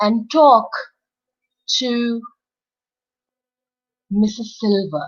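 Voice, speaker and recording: A woman's fairly high, warm, somewhat breathy voice at a very slow pace. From India, Uttarakhand. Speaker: storyteller, voice over artist. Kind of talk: children's storytelling. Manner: warm, expressive, engaging.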